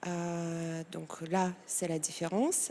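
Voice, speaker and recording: A woman speaks with a Moldovan accent. Her tone is dark and mellow. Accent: foreign accent, Moldovan. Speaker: tattoo artist and engraver. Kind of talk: TV interview. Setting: TV studio set. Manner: halting, many hesitations.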